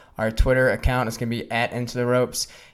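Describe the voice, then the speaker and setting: A man's monotone, flat delivery at a very fast pace. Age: 30s. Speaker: wrestling podcast host. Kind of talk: casual chat.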